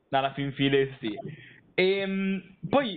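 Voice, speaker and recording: A man speaks with ordinary pitch variation. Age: 20s. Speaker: interviewer, literature and philosophy student. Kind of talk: interview. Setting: recorded call. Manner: halting, many repetitions and fillers.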